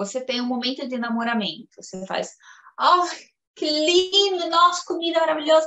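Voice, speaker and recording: A voice at a moderate pace whose pitch swings very widely. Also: woman. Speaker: Brazilian immigrant in Italy. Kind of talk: casual interview. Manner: animated.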